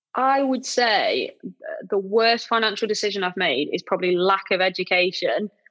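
A woman with a British accent, medium pitch and ordinary pitch variation, at a moderate pace and very even loudness. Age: 20s. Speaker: property letting company director. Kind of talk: interview.

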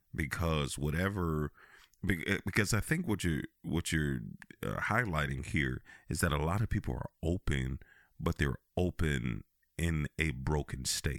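Animated, energetic tone with vocal fry and ordinary pitch variation, very clean recording with a silent background and a dry, close sound with no echo. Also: man, very deep, low pitch for a man. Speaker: podcast host. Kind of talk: casual conversational podcast interview. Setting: studio.

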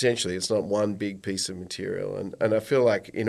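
At a moderate pace, a man with a fairly low pitch speaks in a very clean recording with a silent background. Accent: Australian. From Australia, rural Victoria. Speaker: environmental business founder. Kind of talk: casual interview. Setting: studio.

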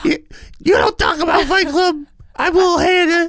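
A woman speaks at a moderate pace in a put-on character voice, her pitch extremely high and its variation ordinary.

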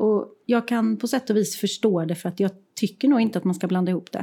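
A woman with a dark, mellow tone speaks at a fairly high pitch and moderate pace with ordinary pitch variation. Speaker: podcast co-host, creative professional. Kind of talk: casual chat. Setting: her art studio, sharing one mic.

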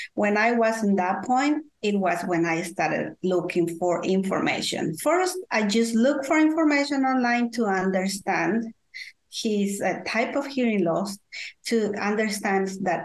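A woman with a Spanish accent speaks at a fairly slow pace, her medium pitch shaped by lively intonation and very even loudness. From Guatemala. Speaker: parent consultant, advocate for deaf children's families. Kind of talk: interview, personal storytelling. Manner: halting, hesitant with fillers.

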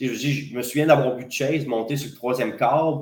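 Fairly slow and fairly even in intonation, a man at a medium pitch speaks amid audible room echo. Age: 30s. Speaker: wrestling promoter and wrestler. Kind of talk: casual interview.

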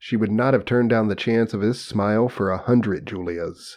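Against a quiet background, a man in a plain, everyday voice speaks at a moderate pace, his pitch fairly low with ordinary variation. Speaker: podcast co-host. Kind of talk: casual banter, reading aloud.

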